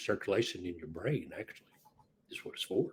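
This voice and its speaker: A man's somewhat breathy voice. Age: 60s. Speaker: inventor and part-time truck driver. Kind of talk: podcast interview.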